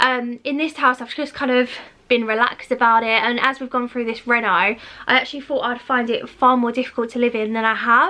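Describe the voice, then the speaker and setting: At a fairly quick pace, a woman speaks in a high pitch with a bright, sharp tone and fairly even intonation. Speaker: lifestyle vlogger. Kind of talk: casual video walkthrough. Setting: at home. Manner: fast.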